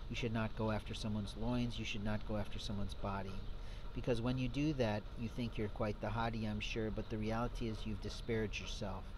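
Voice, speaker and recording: Background noise is noticeable throughout. The man's speech is fairly quick. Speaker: self-styled preacher. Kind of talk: sermon. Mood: earnest, moralizing. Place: street. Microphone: phone near.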